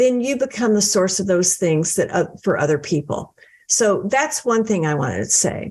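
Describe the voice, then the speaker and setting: A plain, everyday voice, a woman at medium pitch speaks at a moderate pace with lively intonation. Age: 60s. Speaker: author and book coach. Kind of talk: podcast interview.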